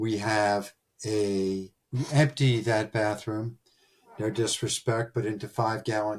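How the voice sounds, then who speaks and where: A man speaks with a Philadelphia accent. His voice sits at a medium pitch and sounds somewhat breathy. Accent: nasal Philadelphia-area. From Delaware County, Pennsylvania. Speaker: podcast host, recruiting firm founder. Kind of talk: storytelling monologue.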